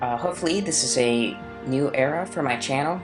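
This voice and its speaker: The voice is quiet. Music plays in the background. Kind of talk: gaming commentary. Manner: very quiet; mumbled.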